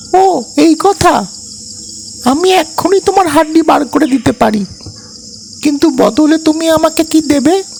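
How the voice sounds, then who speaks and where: At a fairly slow pace, a cartoonish character voice speaks in a high pitch. Background noise is clearly heard. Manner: chirpy, direct.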